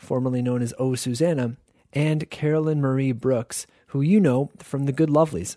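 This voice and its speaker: A normal speaking voice moves at a moderate pace with ordinary pitch variation. The sound is dry and close with no echo, and the recording is very clean with a silent background. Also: man. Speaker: radio host. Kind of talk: radio show hosting, scripted-style intros and announcements. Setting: radio studio broadcast. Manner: warm, conversational, clear and upbeat.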